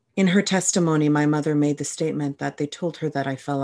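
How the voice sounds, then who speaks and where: Over a quiet background, a woman talks fairly quickly in a very deep, low pitch. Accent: Canadian. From Canada, New Brunswick (Moncton). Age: 30s. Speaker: podcast host. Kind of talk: personal testimony monologue.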